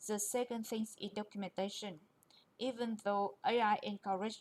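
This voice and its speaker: At a moderate pace, a woman with a non-native accent talks in a fairly high pitch. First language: not English. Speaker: QA engineer presenter. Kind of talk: presentation.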